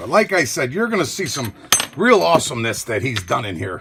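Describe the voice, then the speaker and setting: Moving along at a fairly quick pace, a man's voice rises and falls in very wide pitch swings. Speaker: lockpicking hobbyist youtuber. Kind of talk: tutorial. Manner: casual, self-talking.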